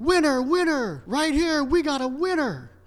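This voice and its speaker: In a put-on character voice, the speaker talks high in pitch at a moderate pace. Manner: excited, hawking.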